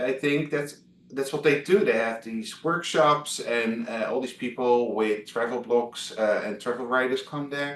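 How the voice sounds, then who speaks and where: A man speaks with a Dutch accent. His pitch varies in an ordinary way. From Netherlands, Amsterdam. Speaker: travel blogger. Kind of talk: interview. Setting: video call. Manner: halting, many fillers.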